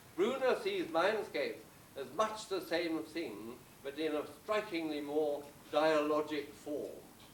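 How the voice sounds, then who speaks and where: A man's fairly high voice with lively intonation, a very slow pace and audible room echo. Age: 80s+. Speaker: retired psychology professor. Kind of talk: speech at a celebration.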